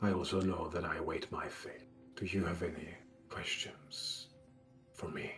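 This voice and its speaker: A man's put-on character voice, fairly low in pitch, at a moderate pace over clear background music. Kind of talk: solemn prophetic fantasy voice. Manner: grave, cryptic, resigned.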